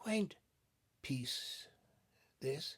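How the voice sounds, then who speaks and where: The voice is a put-on character, whispering. It sounds shaky. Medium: read story. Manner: feeble, apathetic, quavering.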